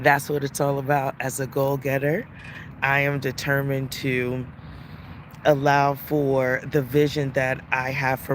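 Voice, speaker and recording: Noticeable background noise surrounds a man speaking at a fairly slow pace and medium pitch in a monotone, flat intonation. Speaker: life coach and podcast host. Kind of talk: casual livestream talk. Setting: outdoors in a park, live video.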